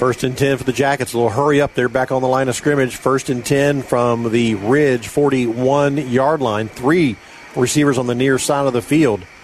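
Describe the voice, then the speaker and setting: Against noticeable background noise, a man keeps a moderate pace and very even loudness. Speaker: radio play-by-play announcer. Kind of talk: live high school football play-by-play on radio. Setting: radio broadcast booth at a stadium. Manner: brisk, rhythmic play calling that builds to excited snap-by-snap narration.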